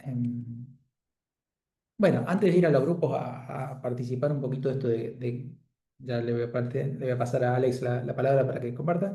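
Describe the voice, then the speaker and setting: A man's somewhat breathy voice, dark and mellow in tone, with audible room echo. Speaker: Bible study leader. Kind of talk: group Bible study facilitation.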